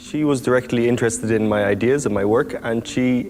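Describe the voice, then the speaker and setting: With an Irish accent and fairly even intonation, a man talks over noticeable background noise. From Ireland. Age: 20s. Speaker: circus performer. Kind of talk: interview monologue. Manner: halting.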